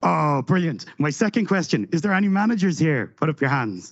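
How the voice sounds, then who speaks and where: A man with an Irish accent. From Ireland. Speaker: conference speaker, software delivery lead. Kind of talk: conference talk. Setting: stage with audience. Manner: fast; animated.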